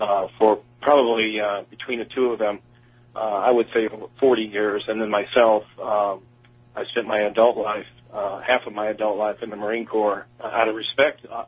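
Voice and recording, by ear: Speaking in an American accent at a moderate pace, the voice has a slightly husky edge, a nervous tone and little pitch movement. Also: man, fairly low pitch for a man.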